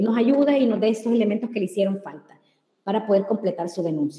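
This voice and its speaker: Here a woman speaks at a fairly high pitch. Her pitch variation is ordinary. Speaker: public information commissioner. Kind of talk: webinar presentation. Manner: fast.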